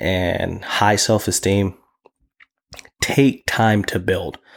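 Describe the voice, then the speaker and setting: A man's fairly low pitch and fairly even intonation, at a very slow pace with long, frequent pauses. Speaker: podcast host and nurse. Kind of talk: casual monologue. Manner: confident.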